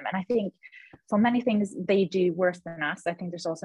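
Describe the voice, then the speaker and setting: A woman with a fairly low pitch speaks at a fairly quick pace, her voice somewhat breathy and her pitch varying in an ordinary way. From Sweden, Gothenburg. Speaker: radiologist. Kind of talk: casual interview.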